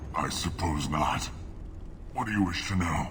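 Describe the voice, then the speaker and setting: A man puts on a character voice, talking at a moderate pace through loud background noise. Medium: video game. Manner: bitter, accusatory.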